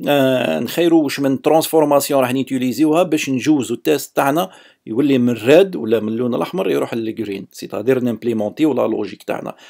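A man with an Algerian accent talks at a fairly quick pace, his pitch fairly high and his intonation lively. The recording is very clean, with a silent background. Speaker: software developer. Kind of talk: technical lecture. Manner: casual, code-switching with French.

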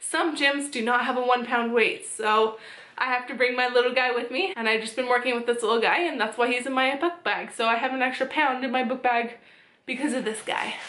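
A woman speaks at a fairly quick pace in a high pitch, her tone bright and sharp, with audible room echo. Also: ordinary pitch variation. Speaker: fitness vlogger. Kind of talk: casual vlog chat. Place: home room.

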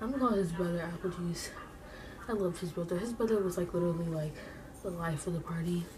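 A woman speaks very fast at a fairly low pitch, her intonation fairly even. Background noise is noticeable. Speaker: beauty vlogger. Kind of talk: casual vlog chat. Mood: chatty, playful. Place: home room. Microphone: webcam.

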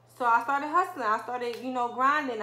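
A woman speaks at a high pitch with a bright, sharp tone and ordinary pitch variation. Audible room echo surrounds her voice. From Philadelphia, US. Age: 20s. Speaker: lash artist, beauty vlogger. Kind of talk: personal story vlog. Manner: casual, frequent 'um' fillers. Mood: earnest, reflective. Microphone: phone near.

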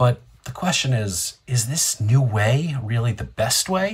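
Lively intonation in a somewhat breathy male voice. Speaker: online show host. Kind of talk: opinion commentary. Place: home room. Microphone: earbuds.

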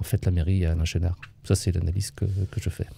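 A man's very deep, low voice, dark and mellow in tone and somewhat breathy, in a dry recording with no echo. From France, Vendée coast; France. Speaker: retired local government official and author; interviewee, local civic actor. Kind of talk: interview testimony. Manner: hesitant, many fillers. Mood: calm, reflective.

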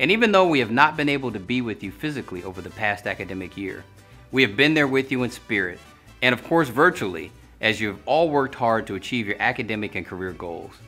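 Over faint music in the background, a man speaks at a very fast pace. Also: big swings in loudness. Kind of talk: commencement speech. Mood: formal, warm, earnest.

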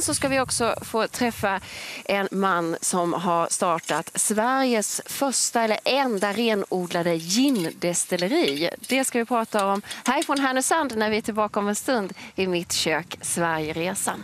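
Over light background noise, a woman speaks at a fairly slow pace, the sound dry with no echo. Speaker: TV presenter. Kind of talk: TV presenting. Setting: outdoors. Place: waterside. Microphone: lapel.

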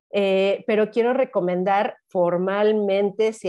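The speech has ordinary pitch variation. The background is quiet. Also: woman. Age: 50s. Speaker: spiritual guide and dancer; interview guest. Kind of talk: interview conversation; interview answer. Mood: warm, animated. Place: home room. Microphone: lapel.

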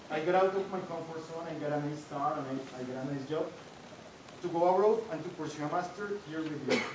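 A man with a Spanish accent talks amid noticeable background noise and audible room echo. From Colombia. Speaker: master's graduate. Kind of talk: graduation ceremony speech. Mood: grateful, warm. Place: hall. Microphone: camera far.

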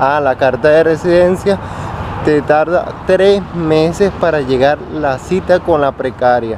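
Noticeable background noise sits behind a man talking at a fairly slow pace. His pitch is fairly high, and the sound is dry with no echo. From Venezuela. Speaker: vlogger and restaurant worker; vlogger. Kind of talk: casual vlog to camera. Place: street. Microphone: phone near.

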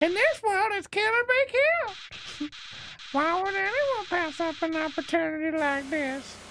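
The voice is a cartoonish character voice. It sits at an extremely high pitch. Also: moderate pace. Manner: menacing, sneering.

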